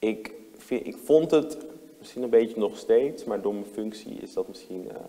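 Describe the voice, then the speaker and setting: At a moderate pace, a man speaks with big swings in loudness. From Netherlands, Amsterdam Zuidoost; Netherlands. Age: 20s. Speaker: lawyer and city councillor; interview guest, lawyer. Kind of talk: talk show interview. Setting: talk show with audience. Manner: hesitant, many fillers and restarts. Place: hall.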